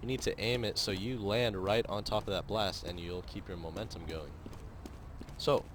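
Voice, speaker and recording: A man talks at a moderate pace in a fairly low, somewhat breathy voice. His pitch variation is ordinary. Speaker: gamer. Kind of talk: game tutorial voice-over. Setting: headset mic worn around the neck. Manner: casual, hesitant with many fillers.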